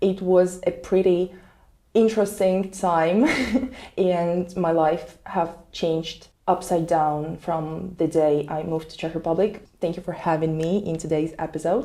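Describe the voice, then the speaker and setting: A woman's dark, mellow voice in a Russian accent, fairly low in pitch, fairly slow, with fairly even intonation. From Russia, Moscow. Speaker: international student. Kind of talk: casual chat.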